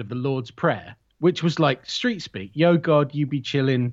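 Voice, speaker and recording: Animated and somewhat breathy, a man speaks at a moderate pace and medium pitch with lively intonation. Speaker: horror podcaster. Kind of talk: casual chat.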